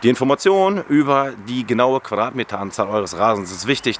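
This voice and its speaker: A man talks at a moderate pace, his pitch in the medium range. Noticeable background noise runs underneath. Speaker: lawn care YouTuber. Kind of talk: tutorial. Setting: outdoors.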